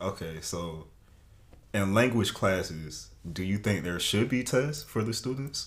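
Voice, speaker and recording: Lively intonation and vocal fry mark this man's voice, which carries an American accent. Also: fairly low pitch for a man, fairly slow pace. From US South. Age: 20s. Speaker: college student. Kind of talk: casual interview chat.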